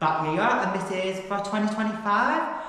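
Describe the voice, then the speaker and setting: A man with a Lancashire accent, audible room echo and noticeable background noise. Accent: northern English (Lancashire). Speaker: ultrarunning vlogger. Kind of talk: casual vlog talk to camera. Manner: mumbling.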